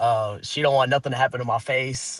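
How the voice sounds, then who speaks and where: The talker uses an American accent at a moderate pace. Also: man. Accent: country accent, like a Southern US voice. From Pennsylvania. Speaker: slap fighting prospect, wrestling family. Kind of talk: casual interview.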